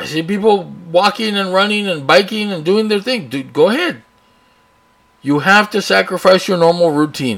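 A man with a South Texas accent speaks at a high pitch with lively intonation. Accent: South Texas American. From US South, Texas (Rio Grande Valley, Brownsville). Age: 40s. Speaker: podcast host. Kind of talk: editorial rant. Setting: home studio with open window, traffic noise. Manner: casual, unscripted.

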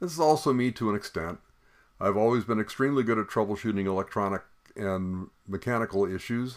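A man's unremarkable speaking voice, fairly low in pitch, at a fairly quick pace with ordinary pitch variation and an American accent. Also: very clean recording, silent background. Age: 60s. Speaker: podcast host. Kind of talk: solo podcast monologue.

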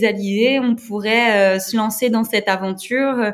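Here a woman speaks at a very slow pace. Her pitch is fairly high and her intonation fairly even. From eastern France, Moselle. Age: 30s. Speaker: amateur adventure racer. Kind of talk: interview. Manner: hesitant, many fillers.

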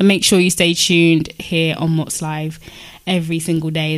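A woman with a fairly low pitch talks at a moderate pace in a plain, everyday voice. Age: 20s. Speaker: podcast host. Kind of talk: casual chat.

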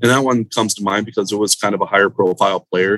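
Dry and close with no echo, a man's fairly low voice has a bright, sharp tone. He speaks at a moderate pace with an American accent. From Central Florida. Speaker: poker marketing director. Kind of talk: casual interview.

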